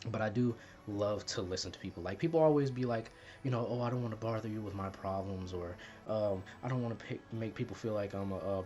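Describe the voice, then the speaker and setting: Soft-spoken and very fast, a man with a fairly low pitch and a slight Southern US accent talks with ordinary pitch variation over noticeable background noise. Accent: little Southern accent, speaks proper. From US South, Mississippi. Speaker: YouTuber. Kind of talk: personal vlog, confessional talk. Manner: quiet, not loud off camera.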